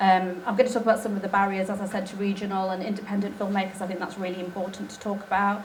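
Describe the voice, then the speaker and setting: A woman talks at a very fast pace with hardly any pauses, a medium pitch, monotone, flat intonation and big swings in loudness, amid audible room echo and noticeable background noise. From England, Nottingham. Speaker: documentary filmmaker. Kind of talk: conference talk. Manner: hesitant, many fillers.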